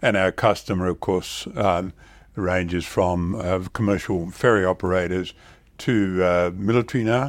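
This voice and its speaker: With an Australian accent, a man talks at a moderate pace with very deep, low pitch, fairly even intonation and very even loudness, on a very clean recording with a silent background. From Western Australia (Perth area), born in the Netherlands. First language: Dutch. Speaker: shipbuilding company founder and chairman. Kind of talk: interview. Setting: in person near Perth. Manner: halting, many fillers.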